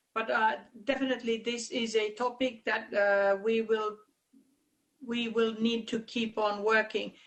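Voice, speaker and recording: Her voice sits fairly high and moves at a fairly slow pace. A woman's intonation stays monotone and flat. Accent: Finnish. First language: Finnish. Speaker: conference chair. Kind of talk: conference meeting discussion. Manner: halting, many fillers.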